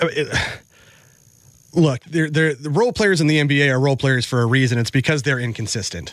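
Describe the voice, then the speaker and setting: A normal speaking voice from a man, fairly high in pitch, at a fairly quick pace with ordinary pitch variation. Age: 40s. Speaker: radio producer and co-host. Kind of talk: casual sports talk. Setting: studio.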